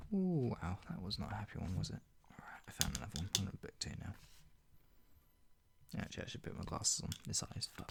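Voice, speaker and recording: Speaking at a very fast pace with long, frequent pauses, a man uses a somewhat breathy voice of fairly low pitch with very wide pitch swings. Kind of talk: casual chat to camera between readings. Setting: ASMR reading video, soft spoken.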